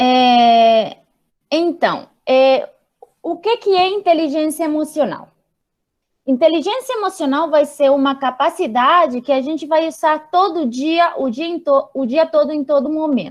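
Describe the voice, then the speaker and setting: Speaking in a high pitch, a woman talks at a fairly slow pace. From Spain. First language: Spanish (speaking Portuguese). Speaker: psychologist. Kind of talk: lecture. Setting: video call. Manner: halting.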